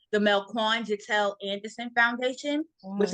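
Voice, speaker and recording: A woman's normal speaking voice at a fairly high pitch, fairly even in intonation and moderate in pace, in a dry, close sound with no echo. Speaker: interview guest, nonprofit founder. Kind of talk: conversational, earnest. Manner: frequent filler "um".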